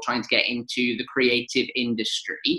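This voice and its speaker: A man with a Welsh accent and a bright, sharp tone at a moderate pace. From Wales. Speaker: local TV presenter. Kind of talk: interview.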